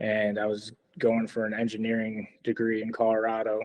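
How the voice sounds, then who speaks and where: A medium-pitched man with a Chicago accent, at a moderate pace. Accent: Chicago American. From US Midwest, Chicago. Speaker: dog trainer, Marine veteran. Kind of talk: casual interview, life story.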